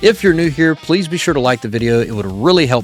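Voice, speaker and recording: Over background music, a man with an American accent talks very fast with lively intonation, the sound dry and close with no echo. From United States. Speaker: reaction youtuber. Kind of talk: casual reaction commentary.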